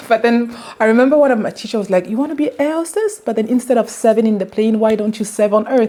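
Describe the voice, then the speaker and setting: Her pitch sits fairly high, with ordinary rises and falls. Noticeable background noise runs beneath this woman's speech. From Belgium, Brussels, of Ghanaian parents. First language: French. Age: 30s. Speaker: cardiologist. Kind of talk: interview. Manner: hesitant, with fillers and repeats.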